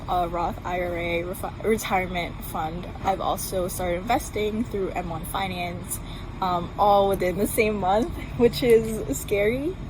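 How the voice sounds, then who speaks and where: Over noticeable background noise and audible room echo, a woman speaks at a fairly slow pace with a medium pitch and ordinary pitch variation. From Philippines, moved to US at about ten. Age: 20s. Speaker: student. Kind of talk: personal testimony. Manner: hesitant, many ums.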